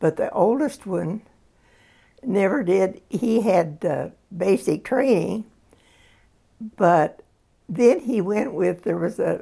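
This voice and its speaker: Against a quiet background, a woman speaks at a very slow pace with long, frequent pauses. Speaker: interviewee. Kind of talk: interview answer. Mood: reflective, calm storytelling. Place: home room.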